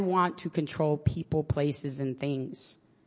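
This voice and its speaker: The speaker has a New York accent. The pace is fairly slow. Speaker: public defender sharing at an AA meeting. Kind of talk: candid personal recovery share with some profanity. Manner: talkative, tends to go on at length.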